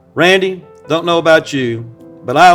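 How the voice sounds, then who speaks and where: With music playing in the background, a man talks with ordinary pitch variation. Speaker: charity gala auctioneer. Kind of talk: charity fundraiser speech to camera.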